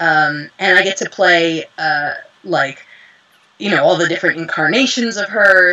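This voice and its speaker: An ordinary speaking voice from a woman, fairly low in pitch, at a moderate pace with ordinary pitch variation. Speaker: voice actress and dubbing director. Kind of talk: interview.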